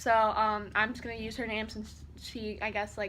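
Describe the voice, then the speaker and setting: A bright, sharp tone with vocal fry at a moderate pace. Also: woman. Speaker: YouTuber. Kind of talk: storytime vlog. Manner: casual, filler-heavy.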